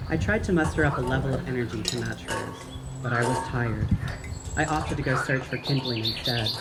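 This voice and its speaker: The talking moves along fairly quickly, with noticeable noise in the background. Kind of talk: first-person narration of a spooky short story. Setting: outdoors.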